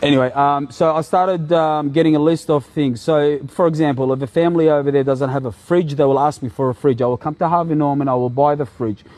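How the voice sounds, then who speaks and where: Over noticeable background noise, a man rattles along at a very fast pace with hardly any pauses, his fairly high voice keeping fairly even intonation. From Iraq. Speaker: vlogger. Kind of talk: casual vlog monologue. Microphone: wearing a cheap clip-on microphone.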